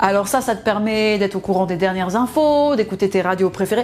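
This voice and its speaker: A woman with a fairly high pitch talks at a fairly quick pace. Her tone is animated and her intonation lively. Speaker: product presenter. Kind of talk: sales pitch.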